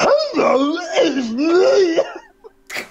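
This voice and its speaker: A put-on character voice leaps through very wide pitch swings at an extremely high pitch. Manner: silly.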